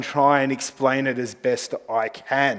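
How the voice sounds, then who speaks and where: Through noticeable background noise, a man speaks in a fairly high pitch. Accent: Australian. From Australia. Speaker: travel company representative. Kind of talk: conference presentation. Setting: conference stage with audience.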